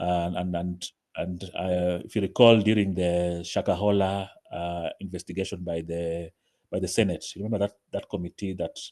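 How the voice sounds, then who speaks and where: Very deep and low, this man's voice has a dark, mellow tone. He keeps a monotone, flat intonation. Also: moderate pace. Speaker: mental health advocate. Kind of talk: online presentation. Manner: halting, many repetitions; quiet.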